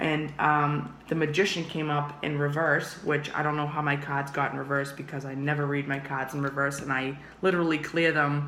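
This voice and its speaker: Speech at a moderate pace with hardly any pauses, amid noticeable background noise. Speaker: tarot reader. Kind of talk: tarot reading monologue. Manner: casual, animated.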